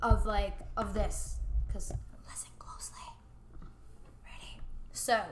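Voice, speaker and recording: A woman speaks in an animated tone. The room echo is audible. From Puerto Rico. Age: 20s. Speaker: juice bar owner. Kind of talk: casual chat.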